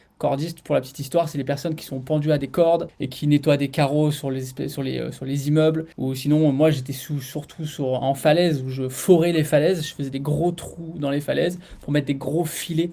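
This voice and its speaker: The voice has a dark, mellow tone, monotone, flat intonation and hardly any pauses. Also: man. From France, Grenoble area (Alps). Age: 30s. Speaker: property dealer and former soldier. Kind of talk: interview podcast. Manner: casual, hesitant with fillers.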